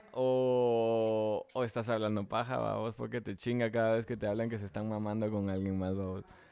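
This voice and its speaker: The voice has a dark, mellow tone and monotone, flat intonation. It moves at a moderate pace with hardly any pauses. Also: man, fairly low pitch for a man. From Guatemala. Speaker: musician and producer. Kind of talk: casual chat.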